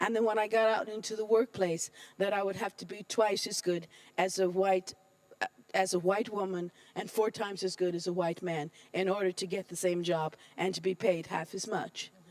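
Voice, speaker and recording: A woman's American accent with fairly even intonation, the sound dry and close with no echo, and noticeable background noise. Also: medium pitch for a woman, moderate pace. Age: 60s. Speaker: UN official. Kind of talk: panel talk.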